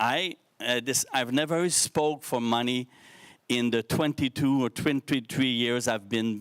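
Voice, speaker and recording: Recorded very cleanly against a silent background, a man speaks fairly slowly at a medium pitch with ordinary pitch variation. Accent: Quebec. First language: French. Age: 50s. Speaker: social entrepreneur, speaker. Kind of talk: motivational talk to youth forum. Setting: stage with live audience, streamed. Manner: halting, with false starts.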